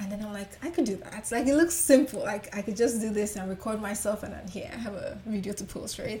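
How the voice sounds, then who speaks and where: Noticeable background noise behind a woman of medium pitch. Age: 20s. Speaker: makeup artist. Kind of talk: interview.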